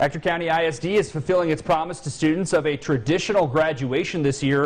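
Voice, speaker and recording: Talking at a fairly quick pace, a man has an unremarkable speaking voice with ordinary pitch variation. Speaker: TV news reporter / anchor. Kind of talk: TV news anchor read.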